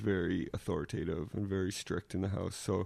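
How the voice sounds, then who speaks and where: Against a quiet background, a man talks at a fairly quick pace. His very deep, low voice has a dark, mellow tone. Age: 30s. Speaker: podcast guest. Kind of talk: casual chat.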